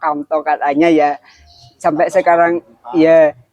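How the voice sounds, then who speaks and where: Music plays in the background while a man talks at a moderate pace. The sound is dry and close with no echo, and his pitch variation is ordinary. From Kudus, Central Java, Indonesia. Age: 20s. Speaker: young craftsman. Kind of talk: interview. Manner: casual.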